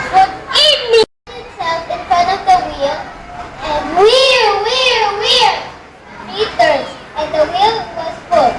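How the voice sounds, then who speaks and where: A put-on character voice at an extremely high pitch moves at a fairly slow pace with long, frequent pauses over light background noise. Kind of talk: fairy tale narration. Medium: stage play.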